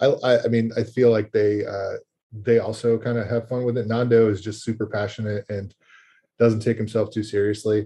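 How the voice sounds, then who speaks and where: A man speaks at a moderate pace in a medium pitch with a somewhat breathy, dark, mellow tone and monotone, flat intonation against a quiet background. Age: 40s. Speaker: fantasy baseball podcast curator. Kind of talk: casual chat. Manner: halting, many fillers.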